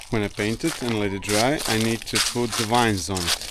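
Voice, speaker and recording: A man with a Croatian accent talks at medium pitch and a moderate pace over noticeable background noise. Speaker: vlogger. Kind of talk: casual vlog narration.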